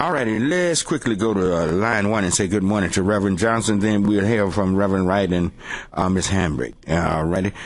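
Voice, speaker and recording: Audible room echo surrounds a man talking at a fairly quick pace, with ordinary pitch variation and very even loudness. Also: fairly low pitch for a man. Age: old. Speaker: radio host and pastor. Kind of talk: call-in talk radio. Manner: halting, many fillers.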